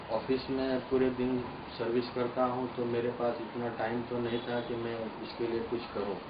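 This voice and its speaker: A man speaks at a medium pitch. His voice carries audible room echo and noticeable background noise. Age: 60s. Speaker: space agency employee and Gandhian activist. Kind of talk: documentary interview.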